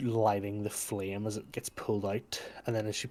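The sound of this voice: What we hear is an unforced reading voice.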